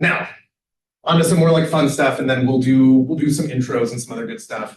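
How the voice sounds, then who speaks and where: Lively intonation from a man with a fairly high pitch, somewhat breathy, with big swings in loudness and audible room echo. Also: fairly quick pace. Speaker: professor. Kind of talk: lecture. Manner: fast; animated.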